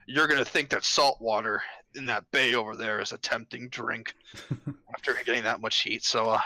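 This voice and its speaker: In a put-on character voice, a man speaks raspily at a medium pitch and moderate pace, with fairly even intonation and a dry, close sound with no echo. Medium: actual play. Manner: rambling, hesitant filler words, brash.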